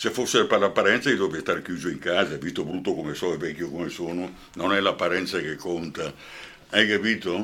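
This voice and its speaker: Very deep and low in pitch, this man has a bright, sharp tone with ordinary pitch variation. He talks at a fairly quick pace. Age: old. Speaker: actor and journalist. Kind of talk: radio interview. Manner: animated.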